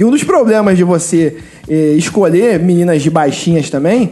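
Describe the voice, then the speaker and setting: Amid noticeable background noise, a man speaks at a high pitch and a moderate pace with ordinary pitch variation. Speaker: firefighter, very tall guest. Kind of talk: casual chat.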